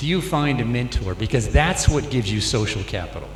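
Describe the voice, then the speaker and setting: With lively intonation and a fairly quick pace, a man speaks through audible room echo and noticeable background noise. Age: 70s. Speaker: professor, keynote speaker. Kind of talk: keynote speech. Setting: conference stage with audience.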